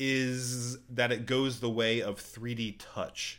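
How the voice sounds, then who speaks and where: The recording is very clean with a silent background. A man is speaking. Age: 20s. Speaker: podcast host. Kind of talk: solo tech news podcast. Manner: casual, conversational.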